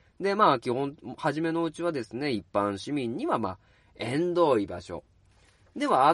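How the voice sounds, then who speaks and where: Relaxed in tone, a man speaks at a moderate pace with a fairly high pitch and very wide pitch swings, in a dry, close sound with no echo. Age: 30s. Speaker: podcast host, bookstore worker. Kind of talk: casual solo talk. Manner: relaxed, many filler words.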